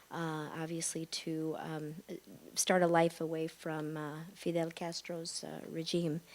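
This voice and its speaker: In a Midwestern accent, a woman speaks at a fairly low pitch with monotone, flat intonation and big swings in loudness, on a very clean recording with a silent background. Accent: American Midwestern. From US Midwest, Chicago suburbs. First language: Spanish. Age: 50s. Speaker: psychologist and panelist. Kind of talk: panel discussion. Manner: halting, many fillers.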